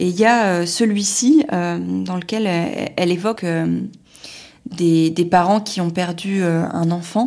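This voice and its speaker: Speaking very slowly, a woman uses a fairly low pitch and ordinary pitch variation. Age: 30s. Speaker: journalist and cancer patient. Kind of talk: personal testimony podcast. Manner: casual with hesitations.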